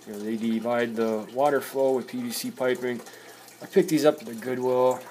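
The speech moves at a moderate pace. Light background noise sits behind it. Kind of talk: casual vlog chat. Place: home room. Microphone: phone near.

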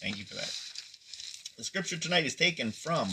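A man with an American accent and very wide pitch swings over noticeable background noise. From Pennsylvania, US. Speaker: pastor. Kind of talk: devotional livestream. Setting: live video stream. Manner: casual, folksy. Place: home room. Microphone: phone near.

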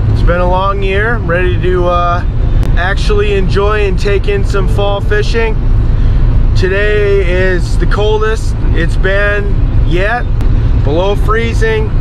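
Through loud background noise, a man talks very slowly in a dry sound with no echo. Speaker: fishing channel host. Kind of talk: casual vlog chat. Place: car. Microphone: phone near.

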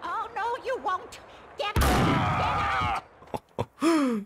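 Over clear background noise, the speaker goes at a very slow pace with an extremely high pitch. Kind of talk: let's play commentary. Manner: shouting, angry.

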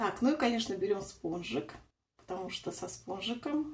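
A woman speaks with very wide pitch swings and a somewhat breathy voice. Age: 40s. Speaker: lifestyle vlogger; vlogger. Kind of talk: casual vlog, makeup tutorial. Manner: chatty, meandering. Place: bathroom. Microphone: phone near.

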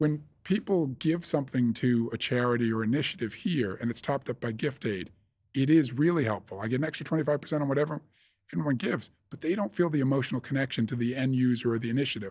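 Speaking at a very fast pace with ordinary pitch variation, a man talks with an American accent. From US Northeast, near Boston. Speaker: investment fund manager; interviewee. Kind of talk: interview. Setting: studio. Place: studio. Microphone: studio mic.

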